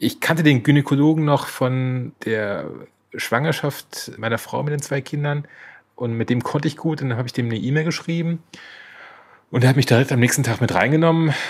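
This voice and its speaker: Recorded very cleanly against a silent background, a man with a fairly high pitch and a somewhat breathy voice speaks fairly quickly with fairly even intonation. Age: 40s. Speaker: podcast co-host sharing his cancer diagnosis. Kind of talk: personal testimony in interview.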